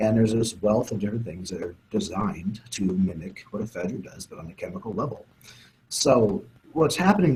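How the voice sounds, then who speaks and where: Somewhat breathy, this voice moves at a fairly quick pace with lively intonation. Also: man. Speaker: sports nutrition scientist. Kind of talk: interview explanation. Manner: fast; low volume. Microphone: too quiet, far from mic.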